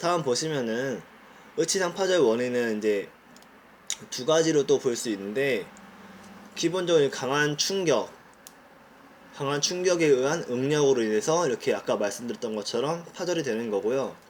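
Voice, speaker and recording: A man's fairly high voice with lively intonation, broken by long, frequent pauses. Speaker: dental technology student. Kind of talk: student presentation. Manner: fast.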